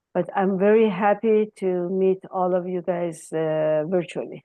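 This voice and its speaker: With an Iranian accent, a woman speaks at a medium pitch with fairly even intonation. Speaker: accounting professor. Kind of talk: informal speech at virtual ceremony. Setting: video call. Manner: hesitant, many fillers.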